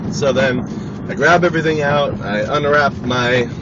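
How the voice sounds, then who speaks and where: A man speaks over noticeable background noise. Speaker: vlogger. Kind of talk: casual vlog monologue. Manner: loud.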